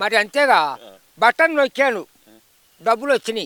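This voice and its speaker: With a raised, projected voice, a man speaks in a bright, sharp, animated tone with lively intonation, the sound dry and close with no echo. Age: 80s+. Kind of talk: street interview answer. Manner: animated, scornful.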